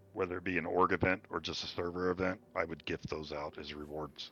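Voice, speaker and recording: Music plays in the background as a man speaks at a moderate pace. His pitch is very deep and low, and his intonation fairly even. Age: 50s. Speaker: retired gamer interviewed on podcast. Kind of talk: casual chat.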